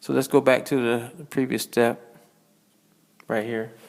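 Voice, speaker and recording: A man speaks at a moderate pace with a medium pitch and ordinary pitch variation, over noticeable background noise. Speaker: math teacher. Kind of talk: online class lesson.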